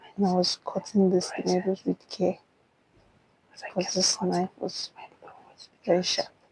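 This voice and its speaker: Whispering and soft-spoken, a woman talks at a fairly slow pace in a calm tone, somewhat breathy, with long, frequent pauses. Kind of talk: whispered ASMR bedtime story. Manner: whispered, soft; slow, calm.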